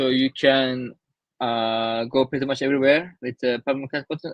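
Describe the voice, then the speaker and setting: A man with a Turkish accent and a fairly high-pitched voice, at a fairly slow pace, in a dry, close recording with no echo. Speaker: traveler. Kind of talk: interview. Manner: halting.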